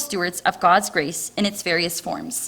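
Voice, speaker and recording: A woman speaks with a Canadian accent at a moderate pace. Noticeable background noise is present. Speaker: missionary volunteer. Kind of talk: testimony. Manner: loud and talkative.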